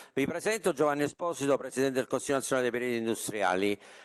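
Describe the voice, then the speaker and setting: The intonation is lively against a quiet background. The sound is dry and close, with no echo. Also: man. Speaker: professional council president. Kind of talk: formal speech. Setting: stage with audience. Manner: hesitant with filler sounds.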